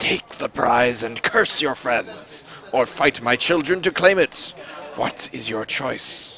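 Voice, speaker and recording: A man does a growling, put-on character voice at a medium pitch. He goes at a fairly slow pace over clear background noise. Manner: menacing.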